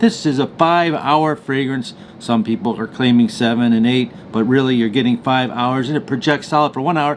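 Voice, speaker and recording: A man talks at a fairly quick speed in a medium pitch that shows ordinary pitch variation. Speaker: fragrance reviewer. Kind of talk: product review. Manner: fast; animated.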